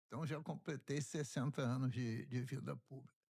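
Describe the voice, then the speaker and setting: A man is speaking. His voice is somewhat breathy. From Rio de Janeiro, Brazil. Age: 70s. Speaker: state legislator. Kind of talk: interview. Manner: halting.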